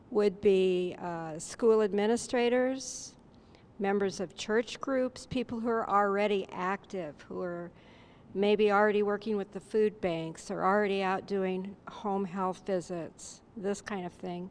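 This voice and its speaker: Her pitch sits in the medium range for a woman, with fairly even intonation. The woman speaks at a fairly slow pace. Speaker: seminar participant. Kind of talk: group discussion report. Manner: soft-spoken.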